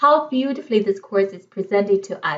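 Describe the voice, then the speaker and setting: The tone is enthusiastic, with lively intonation. The speaker has a Chinese accent. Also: woman. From China. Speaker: online course reviewer. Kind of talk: product review.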